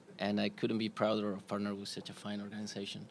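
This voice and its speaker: This man talks with a Spanish accent in a fairly low pitch. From Spain, Madrid. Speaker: corporate executive, sponsor representative. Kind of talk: press conference. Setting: press conference with audience. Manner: halting, many fillers.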